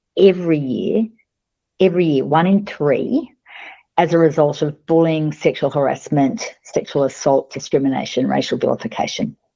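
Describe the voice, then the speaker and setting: A woman speaks with a very deep, low pitch and a dark, mellow tone. Her pace is moderate and her pitch varies in an ordinary way. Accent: Australian. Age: 60s. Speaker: company founder and CEO. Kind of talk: podcast interview. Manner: animated.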